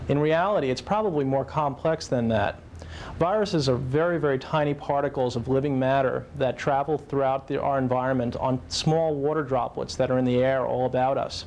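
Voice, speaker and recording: A man with a plain, everyday voice speaks fairly quickly at a fairly high pitch, with very even loudness and ordinary pitch variation. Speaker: physician. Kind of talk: interview answer.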